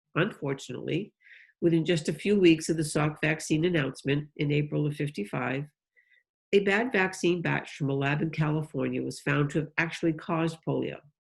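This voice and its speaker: This woman's very deep, low voice carries vocal fry and ordinary pitch variation at a fairly quick pace. The recording is very clean with a silent background. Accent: New England. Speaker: polio survivor and volunteer advocate. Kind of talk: speech to a club.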